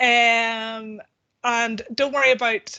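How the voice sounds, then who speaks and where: In a Northern Irish accent, this voice has a bright, sharp tone and fairly even intonation. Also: woman. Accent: Northern Irish, noticeable. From Northern Ireland. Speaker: policy researcher at a charity. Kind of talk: online presentation. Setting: video call.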